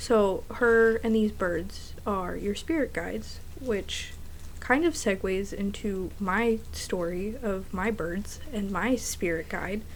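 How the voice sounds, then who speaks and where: With audible echo from the room, a woman talks at a very slow pace. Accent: American. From New Jersey, US. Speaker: podcast co-host. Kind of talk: casual chat.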